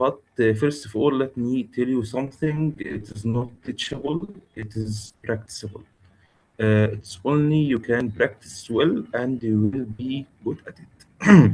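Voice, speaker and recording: A man talks at a fairly slow pace with an Arabic accent. His voice sits at a medium pitch, somewhat breathy, with ordinary pitch variation. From Egypt. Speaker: intensivist lecturer. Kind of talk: lecture. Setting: video call webinar. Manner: halting, many filler sounds.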